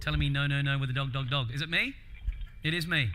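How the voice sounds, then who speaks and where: Words come at a very fast pace, with audible room echo around them. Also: man. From Australia. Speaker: keynote speaker. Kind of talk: conference keynote talk. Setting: stage with audience. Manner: animated, casual.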